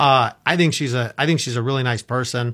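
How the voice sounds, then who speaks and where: A man with an American accent and a medium pitch speaks at a moderate pace in an unremarkable speaking voice, on a very clean recording with a silent background. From Orlando, Florida. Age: 50s. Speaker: real estate agent. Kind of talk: casual chat. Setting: studio.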